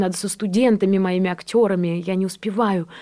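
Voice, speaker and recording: With a dark, mellow tone, a woman talks at a medium pitch and a fairly quick pace. Her intonation stays fairly even. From Belarus, Borisov. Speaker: actress. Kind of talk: radio interview. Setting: radio studio.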